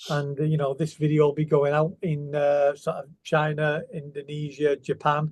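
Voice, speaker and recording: A man with a Manchester accent, fairly high in pitch and somewhat breathy, in a monotone, flat delivery at a moderate pace with hardly any pauses. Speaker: guitar company representative. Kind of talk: interview. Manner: hesitant, many fillers.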